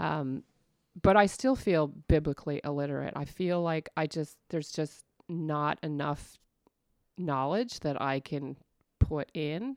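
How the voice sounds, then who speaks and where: In a central Canadian accent, a woman talks at a fairly slow pace, dry and close with no echo, on a very clean recording with a silent background. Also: ordinary pitch variation. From Ontario, Canada (Stouffville). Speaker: church women's ministry director. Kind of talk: casual interview.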